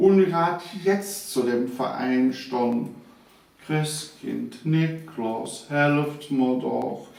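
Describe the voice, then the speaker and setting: A man speaks very slowly in a fairly high voice with ordinary pitch variation, over noticeable background noise. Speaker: retired teacher and author. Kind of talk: dialect poetry reading.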